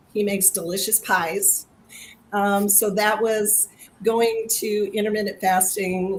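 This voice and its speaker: At a very slow pace, a woman talks in a monotone, flat way. Her pitch is medium. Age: 60s. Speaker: health program participant. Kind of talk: testimony. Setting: video livestream.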